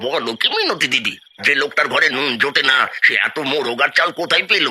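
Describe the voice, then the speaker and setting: A cartoonish character voice moves along at a fairly quick pace. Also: man, fairly high pitch for a man. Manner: scheming but cowardly.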